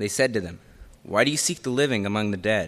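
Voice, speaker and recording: Here is a man with an unremarkable speaking voice, medium in pitch, with ordinary pitch variation. The recording is very clean, with a silent background. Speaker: scripture reader. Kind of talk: reading aloud. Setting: church.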